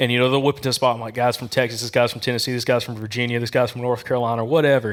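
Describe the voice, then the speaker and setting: A man with a slight Southern US accent at a very fast pace. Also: medium pitch for a man. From Alabama. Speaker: hunting podcast host. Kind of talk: casual chat. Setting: live audience at an expo. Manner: animated.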